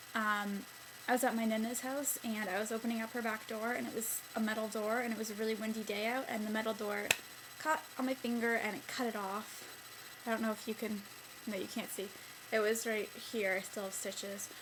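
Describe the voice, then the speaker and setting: Amid noticeable background noise and audible room echo, a woman with a fairly high pitch speaks at a fairly quick pace in a monotone, flat intonation with long, frequent pauses. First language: Italian. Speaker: beauty vlogger. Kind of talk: casual vlog monologue. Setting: bedroom at night. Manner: chatty, filler-heavy.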